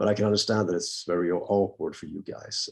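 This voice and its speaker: The speaker has a Swedish accent and talks at a fairly quick pace. The background is quiet. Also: man. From Sweden, Gothenburg. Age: 50s. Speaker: rock singer. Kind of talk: interview.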